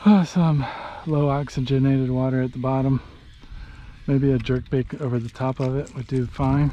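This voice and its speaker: With noticeable background noise behind him, a man speaks in a relaxed tone at a moderate pace, his medium pitch held to fairly even intonation. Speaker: fishing vlogger. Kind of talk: casual video narration. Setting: outdoors.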